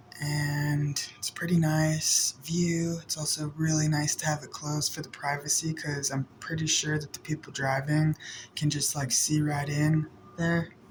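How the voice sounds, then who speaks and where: The speech comes at a fairly slow pace in a flat monotone, with noticeable background noise. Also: man, fairly high pitch for a man. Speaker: vlogger. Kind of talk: casual vlog talk. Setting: indoors in apartment.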